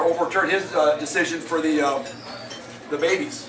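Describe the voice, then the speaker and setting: Over music in the background and audible room echo, a man talks at a fairly quick pace with a high pitch. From Hawaii. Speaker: political activist speaker. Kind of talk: public talk. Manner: fast; animated.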